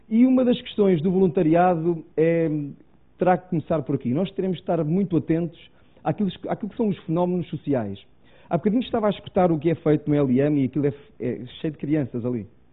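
A man with a European Portuguese accent talks fairly quickly at a high pitch with lively intonation. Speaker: preacher. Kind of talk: sermon. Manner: halting.

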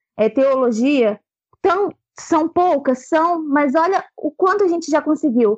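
A woman's high-pitched voice moves through very wide pitch swings. The sound is dry and close, with no echo. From Brazil, Angra dos Reis (Rio de Janeiro state). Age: 20s. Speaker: church member and theology contributor. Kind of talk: casual group discussion.

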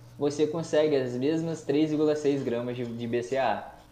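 A man's fairly high voice at a very slow pace, with audible room echo and noticeable background noise. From Brazil, Espírito Santo (Cachoeiro). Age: 20s. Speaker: chemistry teacher and nutritionist. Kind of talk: casual chat.

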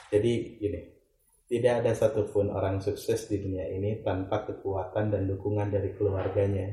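Set against audible room echo, a man talks at a fairly quick pace with a fairly low pitch, a somewhat breathy, dark, mellow tone and monotone, flat intonation. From West Java, Indonesia (Ciamis). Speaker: travel agency executive. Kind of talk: interview.

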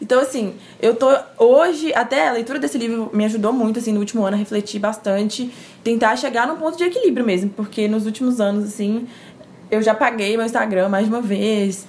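Fairly high-pitched woman talking at a fairly quick pace with ordinary pitch variation, noticeable background noise behind her. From Minas Gerais, Brazil (Timóteo, interior). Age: 20s. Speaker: communication graduate, churchgoer. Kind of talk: casual chat.

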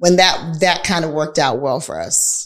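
A woman with an unremarkable speaking voice, fairly low pitch and ordinary pitch variation. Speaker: podcast host and real estate entrepreneur. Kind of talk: casual conversational podcast.

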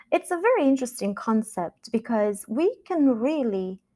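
A woman with a Romanian accent speaks in a dark, mellow tone with lively intonation. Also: very clean recording, silent background. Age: 40s. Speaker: podcast host and life coach. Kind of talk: solo podcast monologue.

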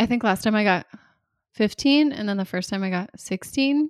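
On a very clean recording with a silent background, a woman with a fairly high pitch and ordinary pitch variation sounds dry and close with no echo. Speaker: trivia podcast host. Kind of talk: casual chat. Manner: animated.

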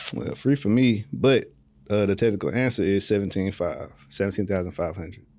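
A man speaks with an American accent and a dark, mellow tone. His pitch is fairly low and his pace fairly quick. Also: ordinary pitch variation. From California, then Texas from middle school. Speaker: barber. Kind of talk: casual chat.

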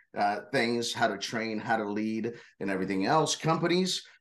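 Talking at a fairly quick pace, a man uses an ordinary speaking voice. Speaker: corporate security leader. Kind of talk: casual interview.

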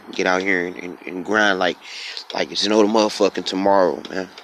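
Over noticeable background noise, a man talks in a fairly low pitch with a monotone, flat intonation. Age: 20s. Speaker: podcast host. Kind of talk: casual monologue. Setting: outdoors. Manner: unedited, many fillers.

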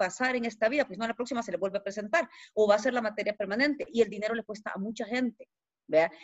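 This woman speaks in a Salvadoran accent at a fairly high pitch. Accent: Salvadoran accent, kept despite years abroad. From El Salvador. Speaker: podcast guest speaking about money. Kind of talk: casual interview chat.

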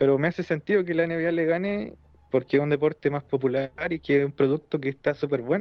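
A man's fairly high voice with a Chilean accent, fairly even intonation and a moderate pace. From southern Chile. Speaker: wrestling podcast panelist. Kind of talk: casual chat.

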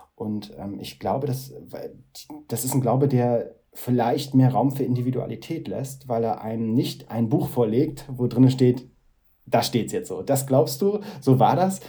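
Fairly slow and somewhat breathy, a man talks at medium pitch with a dark, mellow tone. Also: ordinary pitch variation. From northeastern Germany, Mecklenburg. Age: 30s. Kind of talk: interview. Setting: video call. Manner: halting.

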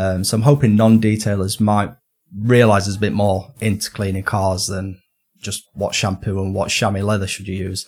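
A man's fairly low, somewhat breathy voice in a northern English accent, monotone and flat, at a moderate pace. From northern England. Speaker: detailing documentary maker. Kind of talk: casual interview chat.

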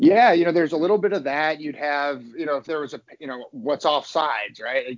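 An ordinary speaking voice at a fairly quick pace, with lively intonation, big swings in loudness and hardly any pauses. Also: man, fairly high pitch for a man. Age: 30s. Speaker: esports team executive. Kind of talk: casual interview chat.

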